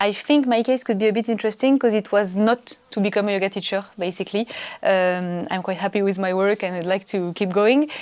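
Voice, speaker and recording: A woman's medium-pitched voice, with ordinary pitch variation and a fairly quick pace. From France. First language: French. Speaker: yoga training student, entrepreneur. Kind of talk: testimonial interview. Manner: hesitant, many fillers.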